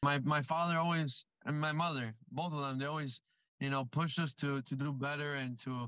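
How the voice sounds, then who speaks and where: A man speaks at a moderate pace with a bright, sharp tone. His intonation stays fairly even over a quiet background. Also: dry sound with no echo. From Cuba. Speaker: university student, scholarship recipient. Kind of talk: testimonial interview. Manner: halting, repeats words. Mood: earnest, grateful. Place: car. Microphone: phone near.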